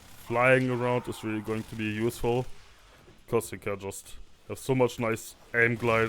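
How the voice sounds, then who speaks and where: Over noticeable background noise, a man with a medium-pitched voice talks at a fairly slow pace. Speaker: gaming video creator. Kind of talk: gameplay commentary. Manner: quiet at times.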